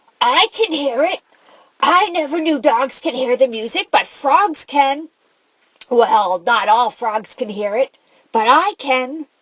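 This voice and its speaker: A croaky, put-on character voice at a fairly slow pace. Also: woman, high pitch for a woman. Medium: read story. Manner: ornery, matter-of-fact.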